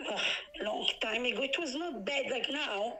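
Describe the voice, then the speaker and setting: A woman at a moderate pace with lively intonation, over noticeable background noise. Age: 60s. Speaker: eyewitness. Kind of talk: emotional interview. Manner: agitated, repetitive.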